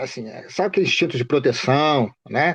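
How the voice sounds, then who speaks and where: Against a quiet background, a man speaks at a moderate pace with ordinary pitch variation and a normal speaking voice. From Rio de Janeiro state, Baixada Fluminense (Duque de Caxias). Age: 60s. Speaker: bereaved father. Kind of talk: interview.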